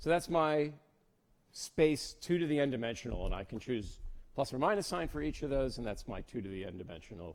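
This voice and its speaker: On a very clean recording with a silent background, a man talks at a fairly quick pace with vocal fry. His fairly high pitch makes very wide swings. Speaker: lecturer in theoretical physics. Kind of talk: lecture. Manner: halting, repeats words.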